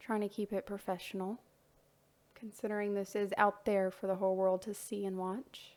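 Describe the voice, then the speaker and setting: With an American accent, the speaker talks at a moderate pace in a flat, monotone delivery. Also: woman, medium pitch for a woman. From US South. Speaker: voice-over narrator, artist's wife. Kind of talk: casual narration. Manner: chatty, with hesitations.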